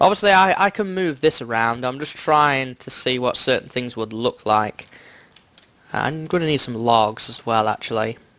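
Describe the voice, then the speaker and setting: At a fairly slow pace, a man speaks with a medium pitch and ordinary pitch variation. Noticeable background noise is present. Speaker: gaming video creator. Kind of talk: gameplay commentary. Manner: casual, thinking aloud.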